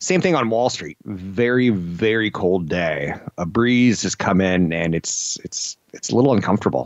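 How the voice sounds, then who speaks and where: With an unremarkable speaking voice, a man talks at a moderate pace and fairly low pitch, hardly pausing, in a dry recording with no echo. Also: quiet background. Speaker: radio show host. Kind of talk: radio talk show commentary. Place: studio.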